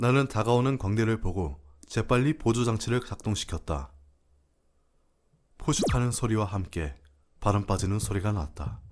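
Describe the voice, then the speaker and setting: A man speaks at a moderate pace in a fairly low pitch with lively intonation. He leaves long, frequent pauses. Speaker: voice actor. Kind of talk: story reading.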